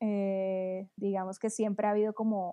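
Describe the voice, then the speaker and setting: This woman speaks at a medium pitch with a dark, mellow tone. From Colombia, Cartagena (Caribbean coast). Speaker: creative director and beer blogger. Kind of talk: casual chat.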